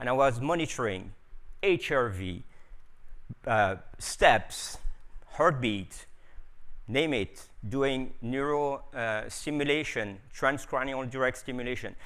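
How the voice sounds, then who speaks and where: In a French accent, the speaker moves at a very slow pace with long, frequent pauses and ordinary pitch variation, with audible room echo. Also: man, medium pitch for a man. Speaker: biohacker and scientist. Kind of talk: conference talk. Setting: stage with audience. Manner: animated.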